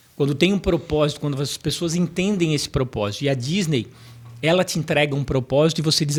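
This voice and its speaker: Somewhat breathy and fairly high-pitched, a man speaks at a very fast pace with ordinary pitch variation. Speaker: professor and motivational speaker. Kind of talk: podcast interview. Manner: storytelling.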